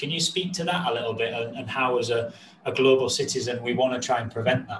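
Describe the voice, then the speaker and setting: A man speaks fairly quickly in a medium pitch, his pitch varying in an ordinary way, while noticeable noise sits in the background. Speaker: podcast host. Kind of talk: podcast interview.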